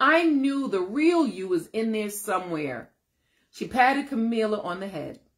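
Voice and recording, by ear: A natural read-aloud voice with lively intonation over a quiet background.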